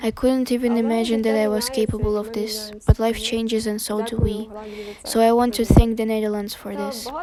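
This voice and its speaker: Over noticeable background noise, a woman talks fairly quickly at a fairly high pitch, her intonation monotone and flat. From western Ukraine, Ivano-Frankivsk. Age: 30s. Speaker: war refugee. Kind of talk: testimony.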